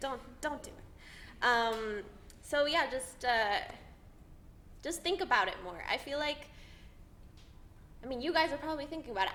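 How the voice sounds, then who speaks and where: Speaking at a moderate pace with lively intonation, a high-pitched woman is heard with audible room echo. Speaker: actor, theatre school alumna. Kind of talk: panel talk to students. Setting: audience in a theatre department room. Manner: filler-heavy, halting.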